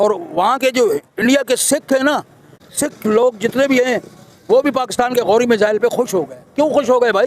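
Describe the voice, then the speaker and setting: The man's pitch is extremely high, with ordinary variation. He keeps a moderate pace, and the sound is dry and close with no echo. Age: 60s. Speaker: street interviewee. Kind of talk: street interview.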